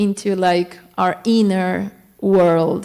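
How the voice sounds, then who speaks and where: A woman's voice at a medium pitch. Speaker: temple devotee giving class. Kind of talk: devotional class talk. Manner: halting, repeating words.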